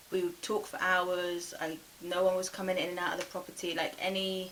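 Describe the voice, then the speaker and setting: A woman talks at a medium pitch, with clear background noise behind her. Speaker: YouTuber telling dating stories. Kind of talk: storytime vlog.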